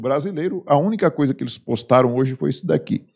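An angry man speaks in a Brazilian accent at a fairly high pitch, his voice swinging very widely up and down. Behind him the background stays quiet. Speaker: video blogger, political commentator. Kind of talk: indignant rant, political commentary. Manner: indignant, angry, scornful, emphatic. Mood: indignant, critical. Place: home room. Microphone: studio mic.

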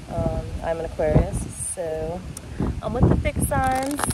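Against noticeable background noise, a woman speaks at a fairly slow pace in a dry recording with no echo. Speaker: tarot reader. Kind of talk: casual vlog chat. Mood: relaxed, cheerful. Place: garden. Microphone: phone near.

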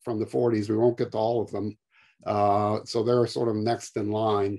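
A man speaks in a dark, mellow tone at a fairly slow pace. The background is quiet. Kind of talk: lecture. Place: home room. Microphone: webcam.

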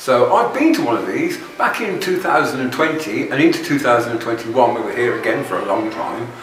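At a fairly slow pace and with hardly any pauses, a man speaks over light background noise, his voice carrying audible room echo. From United Kingdom. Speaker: vlogger. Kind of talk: vlog monologue. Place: home room.

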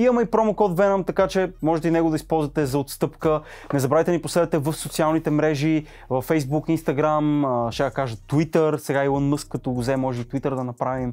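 A man uses a normal speaking voice at a fairly high pitch. He talks at a fairly quick pace with ordinary pitch variation. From Bulgaria. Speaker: tech reviewer. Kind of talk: product review video. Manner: casual, chatty. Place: studio.

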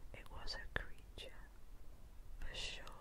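A woman whispers at a very slow pace. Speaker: ASMR storyteller. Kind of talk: ASMR poem reading.

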